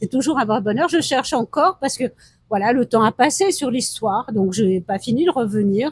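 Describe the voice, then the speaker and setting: The recording has a dry, close sound with no echo. In it, a woman talks at a moderate pace. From France. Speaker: interviewee, traveler. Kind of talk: interview. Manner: hesitant, with many fillers.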